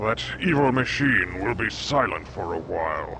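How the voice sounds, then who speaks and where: A man's put-on character voice at medium pitch, moderate pace, with clear background noise. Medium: video game. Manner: blunt, skeptical.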